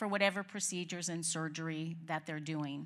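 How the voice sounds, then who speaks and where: A woman speaks with a Boston accent at a moderate pace, her intonation fairly even. The recording is very clean, with a silent background. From Boston area. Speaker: nurse practitioner. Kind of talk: informational talk at staff meeting.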